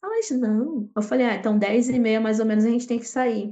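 This woman has a fairly high-pitched voice. She speaks with a Carioca accent. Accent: carioca Brazilian Portuguese. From Rio de Janeiro, Brazil. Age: 30s. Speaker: street musician. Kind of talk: casual interview.

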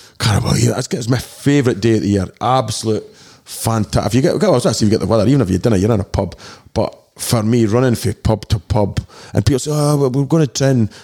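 A man talks at a very fast pace at medium pitch with ordinary variation. His tone is dark and mellow, and his loudness stays very even. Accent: Dundee. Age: 40s. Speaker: DJ and promoter. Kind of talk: casual chat. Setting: studio.

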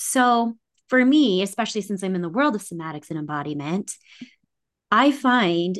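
A woman speaks at a moderate pace. She has a plain, everyday voice. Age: 40s. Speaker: embodiment coach. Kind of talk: casual chat.

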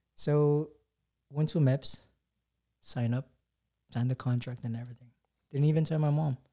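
A man's fairly high-pitched voice of dark, mellow tone, at a moderate pace with fairly even intonation and long, frequent pauses. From Hawaii. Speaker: army first sergeant. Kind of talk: casual interview.

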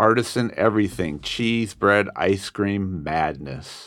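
A man with a Californian accent speaks at a very slow pace in a fairly low voice with ordinary pitch variation, on a very clean recording with a silent background. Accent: Californian American. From Southern California. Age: 60s. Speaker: student poet. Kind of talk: poetry reading. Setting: studio.

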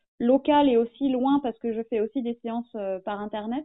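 A woman speaks at a fairly high pitch and a moderate pace. Her intonation is fairly even. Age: 30s. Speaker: small business owner, former journalist. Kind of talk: interview. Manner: halting.

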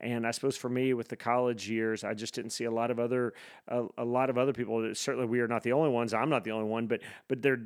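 A man speaks at a very fast pace in a monotone with flat intonation. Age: 50s. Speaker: campus ministry pastor. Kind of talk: casual chat. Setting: video call.

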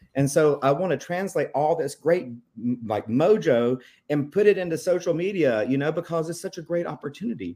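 In a very clean recording with a silent background, a man with an American accent talks at a fairly quick pace, his dark, mellow tone sitting at a fairly high pitch with lively intonation. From South Carolina, US. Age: 40s. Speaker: real estate agent, veteran. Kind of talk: interview. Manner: animated.

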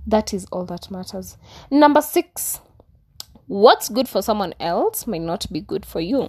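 Her fairly high voice is somewhat breathy and animated, with very wide pitch swings and big swings in loudness. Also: fairly slow pace. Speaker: YouTuber. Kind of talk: vlog monologue.

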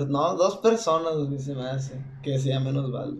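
A man speaks at a fairly high pitch with ordinary pitch variation. Noticeable background noise and audible room echo are present. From Mexico, Sonora. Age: 20s. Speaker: singer. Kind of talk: casual chat.

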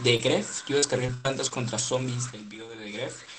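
With noticeable background noise present, a man talks at medium pitch and a moderate pace. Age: 20s. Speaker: youtuber. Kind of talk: casual chat. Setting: video call.

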